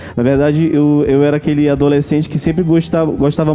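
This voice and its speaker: Over music in the background, a man talks at a moderate pace with a fairly high pitch. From Brazil, Manaus (Amazonas). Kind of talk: testimony. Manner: halting, many repetitions and fillers.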